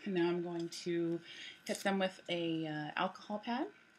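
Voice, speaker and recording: A woman speaks quietly at a fairly low pitch. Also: very clean recording, silent background. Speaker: nail wrap consultant. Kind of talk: casual tutorial talk to camera. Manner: hushed, quiet.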